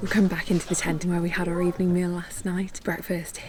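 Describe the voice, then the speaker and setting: With a British accent, a woman talks at a fairly low pitch over noticeable background noise. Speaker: travel vlogger. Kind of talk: travel vlog narration.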